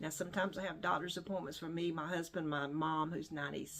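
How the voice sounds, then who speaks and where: A woman speaks with a North Carolina accent. Her pitch is fairly low. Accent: US Southern (North Carolina). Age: 70s. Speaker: online reseller vlogger. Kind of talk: casual vlog talk. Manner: relaxed, with frequent fillers.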